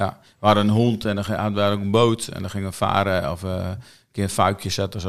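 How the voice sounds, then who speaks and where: A man talks at a fairly quick pace in a fairly low pitch, his intonation monotone and flat. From Netherlands, Friesland. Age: 50s. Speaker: church prayer and mission coordinator. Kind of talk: casual interview. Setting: studio, filmed.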